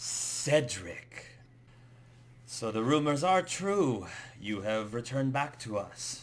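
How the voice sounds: Putting on a raspy character voice, a man speaks at medium pitch with lively intonation at a very slow pace, leaving long, frequent pauses.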